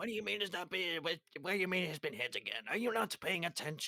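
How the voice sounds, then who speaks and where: A man's put-on character voice, high and lively in intonation, at a very fast pace with very even loudness and a dry, close sound with no echo. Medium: actual play. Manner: exasperated, bickering.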